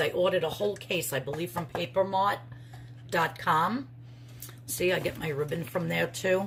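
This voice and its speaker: Against noticeable background noise, a woman with a New York accent speaks at a moderate pace in a fairly low pitch, her pitch swinging very widely. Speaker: crafter and soap maker vlogger. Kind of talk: casual vlog.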